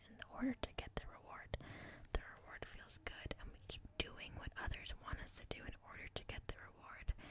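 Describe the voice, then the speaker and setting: A woman whispers at a fairly quick pace. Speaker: ASMR creator. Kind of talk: ASMR book reading to help sleep. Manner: soft-spoken and whispered.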